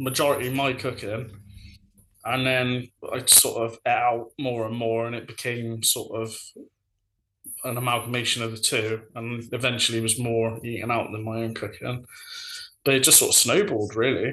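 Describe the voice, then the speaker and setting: A man with a Bristol accent at a medium pitch, monotone and flat, at a moderate pace with long, frequent pauses. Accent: Bristolian English. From Bristol, England. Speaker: food social media influencer. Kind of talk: casual chat.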